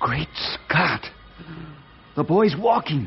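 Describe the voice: Putting on a character voice, a man talks at a very slow pace and fairly high pitch, swinging his pitch widely while faint music plays in the background.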